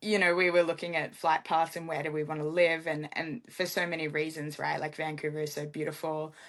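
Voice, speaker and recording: Her voice is very deep and low, and she speaks at a fairly quick pace with fairly even intonation. The woman is heard against a quiet background. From Australia. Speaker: MMA fighter. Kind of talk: casual interview chat.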